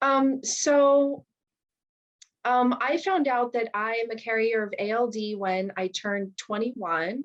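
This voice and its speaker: A woman speaks at a fairly slow pace, her fairly high pitch moving with ordinary variation. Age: 30s. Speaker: public school employee. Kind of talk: personal testimony interview. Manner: hesitant, many fillers.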